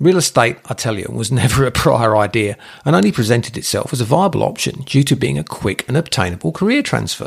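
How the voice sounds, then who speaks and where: A man's very fast speech with hardly any pauses, in an English accent, at a medium pitch with very wide pitch swings and vocal fry. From England. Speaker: real estate agent. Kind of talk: scripted narration.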